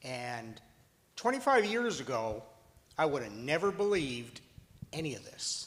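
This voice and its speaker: Amid audible room echo, a man with a fairly high voice swings very widely in pitch and loudness, leaving long, frequent pauses. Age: 70s. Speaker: father of wrongfully convicted son. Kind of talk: testimony.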